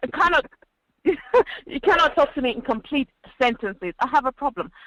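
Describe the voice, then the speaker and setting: A woman's raised, projected voice, high-pitched and animated, with lively intonation at a fairly quick pace and a dry, close sound with no echo. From London, East London (Nigerian Yoruba family). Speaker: panel guest. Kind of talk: radio panel discussion.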